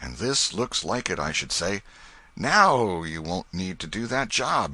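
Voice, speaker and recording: A man's put-on character voice, raspy and very deep in pitch, with very wide pitch swings and a fairly slow pace. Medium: read story. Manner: gruff, rough vernacular.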